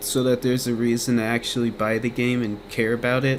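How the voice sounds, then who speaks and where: A man with a medium pitch is talking. Noticeable background noise can be heard. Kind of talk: casual gaming commentary rant. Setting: home recording with fan noise. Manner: rambling, casual.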